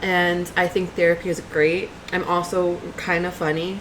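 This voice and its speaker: A woman's fairly low voice with an American accent, over noticeable background noise. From New York. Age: 20s. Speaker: YouTuber and grad student. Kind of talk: casual vlog introduction. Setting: home webcam recording. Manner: energetic, chatty.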